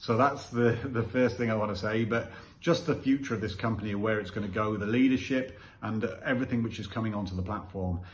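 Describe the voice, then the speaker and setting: Talking at a very fast pace, a man uses a fairly low, somewhat breathy voice with ordinary pitch variation, and audible room echo is present. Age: 50s. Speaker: business testimonial giver, ex-military. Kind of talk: testimony.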